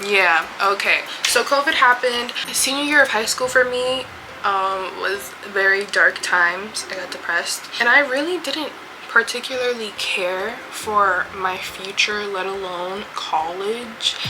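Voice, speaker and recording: Over noticeable background noise and audible room echo, a woman with an American accent speaks fairly slowly in an animated tone, her fairly high voice carrying lively intonation. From New York (Yonkers). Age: 20s. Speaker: beauty vlogger. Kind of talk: casual chat.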